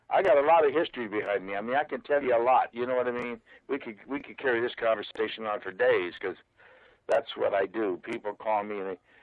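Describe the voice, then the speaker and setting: With ordinary pitch variation, the words come out at a very fast pace. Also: man, medium pitch for a man. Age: 70s. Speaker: music business advisor and author. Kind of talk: interview. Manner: halting, many repeated words.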